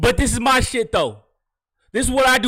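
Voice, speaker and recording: A man speaks loudly in an extremely high voice. His tone is animated, bright and sharp. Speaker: video game streamer. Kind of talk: live game commentary.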